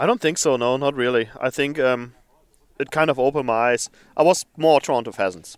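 With a German accent, a man of medium pitch talks at a fairly quick pace with ordinary pitch variation, the sound dry and close with no echo. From Germany. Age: 30s. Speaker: flour milling engineer, new hunter. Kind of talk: interview.

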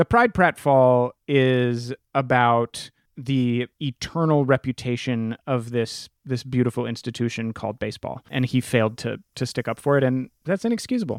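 On a very clean recording with a silent background, a man talks at a moderate pace in an unremarkable speaking voice. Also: medium pitch for a man, dry, close sound with no echo. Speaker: podcaster. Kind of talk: comedic banter.

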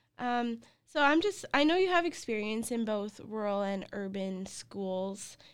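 Speaking in a Canadian accent at a fairly slow pace, a woman with an ordinary speaking voice uses lively intonation in a very clean recording with a silent background. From Canada. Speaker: podcast host. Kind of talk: interview.

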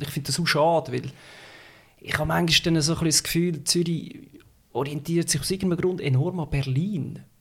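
Using a fairly high pitch and fairly even intonation, a man speaks at a moderate pace with vocal fry. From Switzerland, canton of Schwyz (upper Lake Zurich). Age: 30s. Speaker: podcast guest, city resident. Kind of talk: casual chat. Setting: home, at a living-room table.

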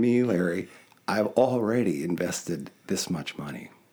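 A man speaks at a fairly slow pace with vocal fry. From Wisconsin, US Midwest. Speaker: podcast host. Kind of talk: casual chat. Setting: studio. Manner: animated.

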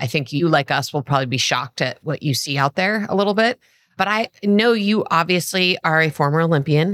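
A woman with a normal speaking voice talks fairly quickly at a fairly low pitch, her loudness very even. The recording is very clean and dry, close with no echo, over a silent background. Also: lively intonation. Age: 50s. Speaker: podcast co-host. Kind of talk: casual interview chat.

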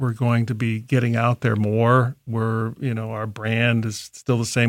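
An unremarkable speaking voice, this man's is medium in pitch, with an American accent and a moderate pace. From Columbus, Ohio. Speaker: coffee company founder. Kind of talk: interview.

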